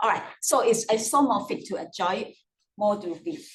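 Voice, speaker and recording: Somewhat breathy, a woman speaks at a moderate pace with a fairly high pitch. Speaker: mathematics lecturer. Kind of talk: lecture.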